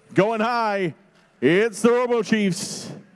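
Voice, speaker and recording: A man speaks in an animated tone. His pitch varies in an ordinary way. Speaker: robotics competition announcer. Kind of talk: live commentary. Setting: event venue, competition floor with PA system. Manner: animated, rising excitement at key moments. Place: hall.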